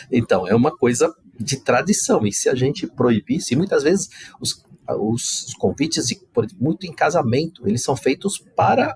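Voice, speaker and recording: A man talks at a moderate pace in a fairly high pitch, with very wide pitch swings. The sound is dry and close, with no echo. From Brazil. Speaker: corporate ethics manager. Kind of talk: podcast interview.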